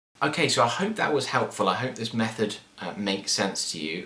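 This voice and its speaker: Noticeable background noise behind a man's fairly quick delivery and ordinary pitch variation. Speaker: guitar teacher. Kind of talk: tutorial. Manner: fast.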